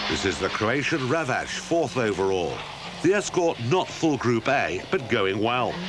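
Very wide pitch swings and very even loudness mark this fairly slow delivery, heard over noticeable background noise. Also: man, medium pitch for a man. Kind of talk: race commentary / rally report voiceover. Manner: brisk, clipped, matter-of-fact; even and measured, like a sports news reader.

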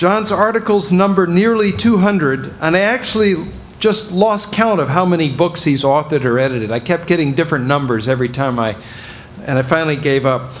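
A man talks at a moderate pace over light background noise. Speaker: event host introducing speaker. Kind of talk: formal speaker introduction. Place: hall. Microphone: podium.

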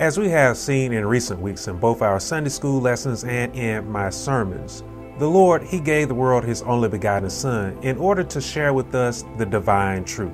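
Over clear background music, the speaker talks at a moderate pace with lively intonation and hardly any pauses. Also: man. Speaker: preacher / minister. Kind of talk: Sunday school sermon lesson. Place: church. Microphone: lapel.

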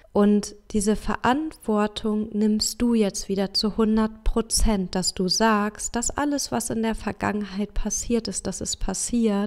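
In a calm tone, a woman speaks at a very slow pace with hardly any pauses. Her intonation stays fairly even. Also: fairly high pitch for a woman. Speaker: podcast host and life coach. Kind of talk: motivational talk; guided meditation.

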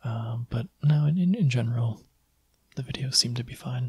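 Soft-spoken and somewhat breathy, a man talks in a dark, mellow tone with ordinary pitch variation. The background is quiet. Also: moderate pace. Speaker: video creator. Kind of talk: casual vlog chat. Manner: soft-spoken, quiet close-mic voice. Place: home room. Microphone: studio mic.

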